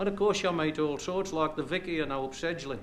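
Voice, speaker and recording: The speech moves at a fairly quick pace with ordinary pitch variation. Background noise is noticeable. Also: man. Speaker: comedian and dialect poet. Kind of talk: stand-up comedy routine. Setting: stage performance.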